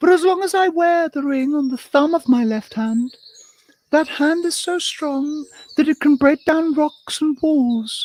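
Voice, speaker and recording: Using a put-on character voice, a woman speaks in a high, squeaky register with a gentle tone, at a moderate pace, in a dry, close sound with no echo. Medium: read story. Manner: earnest, gentle.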